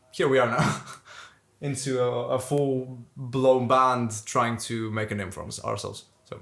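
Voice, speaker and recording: In a Greek Cypriot accent, a man speaks at a fairly slow pace and medium pitch, with fairly even intonation, big swings in loudness and audible room echo. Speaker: metal band vocalist. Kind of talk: casual interview chat.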